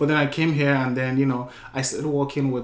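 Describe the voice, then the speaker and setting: A man speaks in a Nigerian accent at a very fast pace. There is noticeable background noise. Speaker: podcast host. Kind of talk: casual interview chat.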